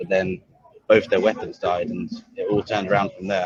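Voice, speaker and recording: A man with a British accent, speaking at a fairly quick pace. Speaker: robot combat fan commentator. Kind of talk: casual chat. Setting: back of a heavy metal bar.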